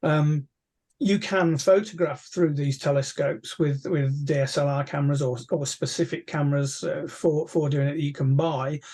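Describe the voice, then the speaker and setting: This man's voice is somewhat breathy, with a dark, mellow tone. His pitch sits fairly high. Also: fairly even intonation, moderate pace, quiet background. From England. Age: 60s. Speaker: amateur astronomer, astronomy society chair; guest. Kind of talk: casual interview. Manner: hesitant, many fillers and repeats. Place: home room. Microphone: video call.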